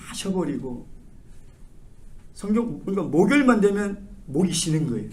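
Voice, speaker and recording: A man speaks at a moderate pace with lively intonation. Room echo can be heard. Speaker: pastor. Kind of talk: sermon. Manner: animated.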